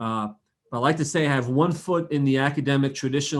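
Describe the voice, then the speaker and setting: Quick speech comes from a man with an American accent. His pace is fairly quick. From New Jersey. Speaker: physician. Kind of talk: podcast interview.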